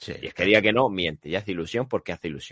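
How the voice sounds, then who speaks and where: Over a quiet background, a man with a very deep, low pitch talks very fast in a dry, close sound with no echo. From Spain, Lorca (Murcia). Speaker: podcast host. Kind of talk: casual chat.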